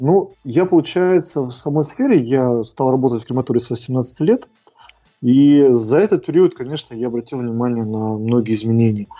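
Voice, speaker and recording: At a moderate pace, a man talks at a medium pitch with ordinary pitch variation, an ordinary speaking voice. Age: 30s. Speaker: crematorium director. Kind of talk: interview.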